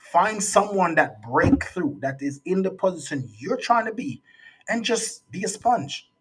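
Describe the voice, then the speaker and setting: A man speaks with a Jamaican accent. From Jamaica, raised partly in US. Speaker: youth speaker and resilience coach. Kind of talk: interview conversation.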